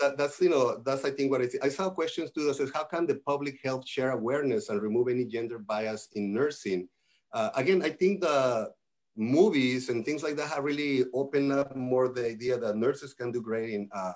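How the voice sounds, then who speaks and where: A man speaks with a Spanish accent at a fairly quick pace. His pitch variation is ordinary. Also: medium pitch for a man. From Mexico. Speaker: nurse executive. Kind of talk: panel discussion.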